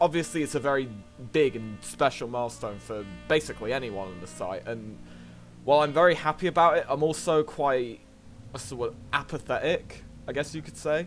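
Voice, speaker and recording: Over background music, the speaker talks at a fairly quick pace with lively intonation and big swings in loudness. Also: man, medium pitch for a man. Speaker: speedrunner. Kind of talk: casual talk to camera. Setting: fuzzy home microphone.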